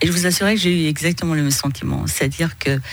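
Audible room echo plus noticeable background noise. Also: woman. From Iranian origin, raised in northern France. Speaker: business executive, chamber of commerce president. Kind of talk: radio interview. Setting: radio studio. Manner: hesitant, many filler sounds.

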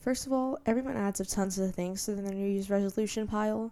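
A soft-spoken woman has a fairly high pitch and a dark, mellow tone. Her intonation stays fairly even. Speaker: podcast host. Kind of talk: solo monologue. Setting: home bedroom.

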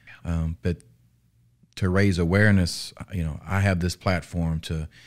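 A man with a Southern US accent and a very deep, low voice, fairly slow and fairly even in intonation, in a very clean recording with a silent background. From Arkansas, US South. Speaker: police officer. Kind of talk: interview. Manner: halting.

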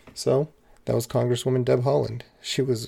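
On a very clean recording with a silent background, a man talks at a fairly quick pace. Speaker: podcast host. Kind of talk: casual interview.

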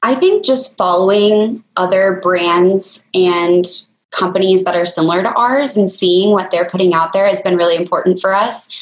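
A woman's ordinary speaking voice at a moderate pace, with very even loudness and fairly even intonation. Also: medium pitch for a woman. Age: 20s. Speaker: business co-founder. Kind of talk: interview.

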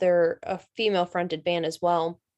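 A woman speaks with a Southern US accent. The sound is dry and close with no echo, over a quiet background. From North Carolina. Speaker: rock singer. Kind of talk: interview.

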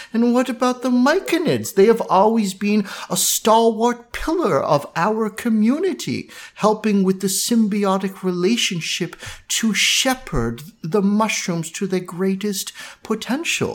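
With an unremarkable speaking voice, a woman speaks at a fairly slow pace in a fairly high pitch, her intonation lively. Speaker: game master. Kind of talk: tabletop roleplaying game narration. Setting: online game session.

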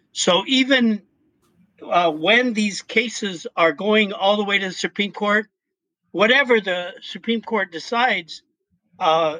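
Speaking at a fairly slow pace with an American accent, a man uses lively intonation and a bright, sharp tone, recorded dry and close with no echo over a quiet background. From Colorado. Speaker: sociology professor and activist. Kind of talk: casual interview. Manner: halting.

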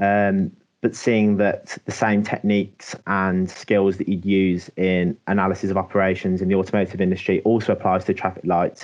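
A man with a very deep, low pitch talks at a moderate pace with hardly any pauses. His intonation is monotone and flat, his loudness very even. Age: 20s. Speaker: university placement student. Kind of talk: casual interview. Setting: working from home.

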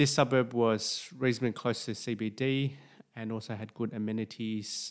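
A man's medium-pitched voice with an Australian accent, monotone and flat at a moderate pace, recorded very cleanly over a silent background. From Sydney, Australia. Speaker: doctor and property investing podcaster. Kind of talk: personal story podcast monologue.

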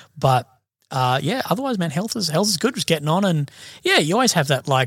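Dry and close with no echo, this very clean recording on a silent background features a man with an Australian accent talking at a fairly quick pace in a fairly high pitch with very wide pitch swings. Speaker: army veteran and independent journalist. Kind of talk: casual chat. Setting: studio.

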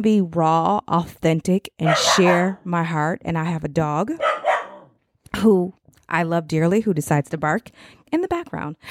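Heard dry and close with no echo, a woman with an American accent talks with lively intonation. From Chicago area, US Midwest. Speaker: podcast host, mother of an incarcerated son. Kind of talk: casual monologue podcast, encouraging talk. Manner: conversational, with fillers and self-corrections.

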